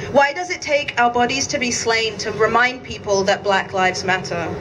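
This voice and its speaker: Noticeable background noise sits under a woman speaking with lively intonation. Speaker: event organizer and emcee. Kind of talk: rally speech. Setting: outdoor vigil with crowd. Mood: solemn, grieving, firm. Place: street.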